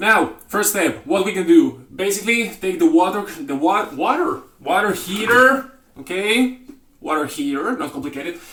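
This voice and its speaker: Amid noticeable background noise, a man's high voice moves at a moderate pace with very wide pitch swings. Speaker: cooking channel host. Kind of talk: cooking tutorial. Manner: halting.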